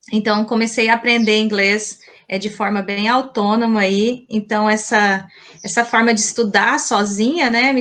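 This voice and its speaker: Speaking at a moderate pace, a woman uses fairly even intonation at a fairly high pitch. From Mato Grosso, Brazil (Colíder). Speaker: teacher. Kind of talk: interview.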